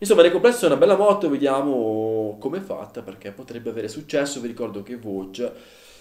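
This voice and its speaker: Against a quiet background with audible room echo, a man speaks at a very fast pace with hardly any pauses, very wide pitch swings and big swings in loudness. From Italy. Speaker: motorcycle video channel host. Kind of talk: casual video monologue reviewing a bike. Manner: conversational, filler words, fluent. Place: home room.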